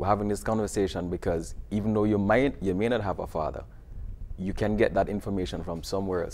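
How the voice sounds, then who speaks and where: A man with a Jamaican accent, fairly low pitch, and a very fast pace. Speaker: video series producer and teacher. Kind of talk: TV interview.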